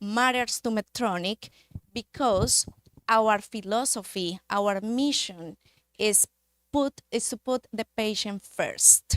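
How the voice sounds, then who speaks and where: Sound is dry and close, with no echo. A woman with a Spanish accent talks very slowly in a fairly high voice. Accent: Spanish accent, non-native English. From Colombia, Manizales. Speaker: medical device industry representative. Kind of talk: conference talk. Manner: hesitant, with fillers.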